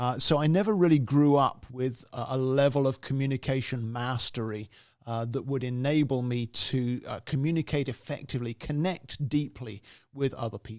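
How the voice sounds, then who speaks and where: A man with a British accent speaks at a moderate pace and a medium pitch. The recording is very clean, with a silent background, and his pitch varies in an ordinary way. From England. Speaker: communication coach, podcast host. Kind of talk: podcast monologue. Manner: reflective, with frequent fillers.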